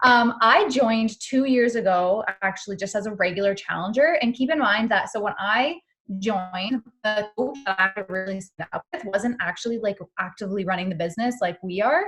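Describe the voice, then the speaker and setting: With music playing in the background, a woman in a Canadian accent speaks at a moderate pace, her fairly high pitch showing ordinary variation. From Canada. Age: 20s. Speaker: fitness coach. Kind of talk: team call talk.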